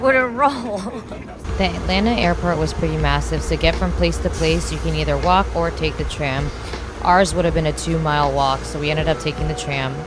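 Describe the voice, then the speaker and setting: A woman speaks at a fairly quick pace over music in the background, and audible room echo fills the recording. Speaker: travel vlogger. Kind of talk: casual vlog narration. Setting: airport and hotel. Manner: whispering.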